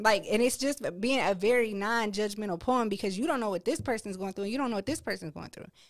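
In a very clean recording with a silent background, a woman with an American accent talks at a very fast pace with hardly any pauses, her fairly high voice showing ordinary pitch variation. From Akron, Ohio. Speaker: poet and dental hygienist. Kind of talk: casual interview chat.

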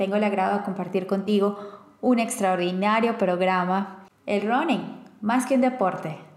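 Fairly slow speech from a woman, audible room echo around it. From Venezuela, Caracas. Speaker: radio host. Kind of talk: interview.

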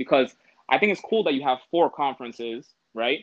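With a Canadian accent, a man talks at a moderate pace. His pitch swings very widely. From Toronto, Canada. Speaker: former university football player. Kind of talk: casual interview.

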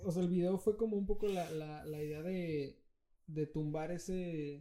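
A man's high-pitched, dark, mellow voice with ordinary pitch variation at a fairly slow pace. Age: 20s. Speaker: musician and music teacher. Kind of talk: casual chat. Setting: home.

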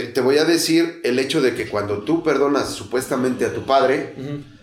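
A man talks fairly slowly, and audible room echo colors the recording. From Mexico City, Tepito. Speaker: recovering alcoholic. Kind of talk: testimony. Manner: halting.

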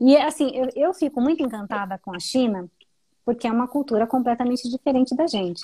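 High in pitch, a woman's voice rises and falls in an ordinary way. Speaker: live stream host. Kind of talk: interview. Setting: live stream.

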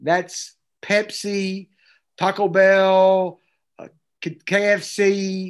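Against a quiet background, a man talks in an energetic tone. His voice is high pitched, with an East Tennessee accent. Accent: Southern US (East Tennessee). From Tennessee, US South. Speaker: pastor and student ministry expert. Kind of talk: interview conversation.

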